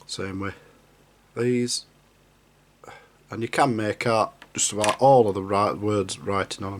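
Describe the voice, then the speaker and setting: Pausing long and often, a man with a Yorkshire accent talks at a fairly slow pace, fairly low in pitch with fairly even intonation. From Yorkshire, northern England. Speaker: scale model builder. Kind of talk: hobby tutorial.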